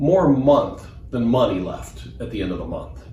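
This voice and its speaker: Moderate pace from a man with an American accent, amid noticeable background noise and audible room echo. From US Midwest, Des Moines, Iowa. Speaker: financial advisor. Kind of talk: personal testimony.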